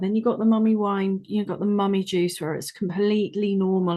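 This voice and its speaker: A woman with a dark, mellow tone speaks against a quiet background. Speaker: podcast host, coach. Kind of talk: podcast interview questions.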